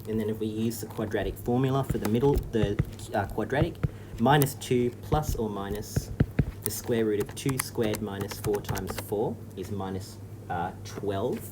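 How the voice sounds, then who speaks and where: In an Australian accent, a man speaks at a moderate pace with fairly low pitch and fairly even intonation over noticeable background noise. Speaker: maths teacher. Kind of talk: tutorial.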